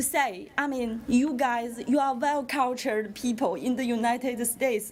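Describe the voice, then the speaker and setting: A woman with a non-native accent speaks at a moderate pace in a high voice, with ordinary pitch variation and noticeable background noise. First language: not English. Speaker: parent speaking at public comment. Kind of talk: public comment at school board meeting. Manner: halting.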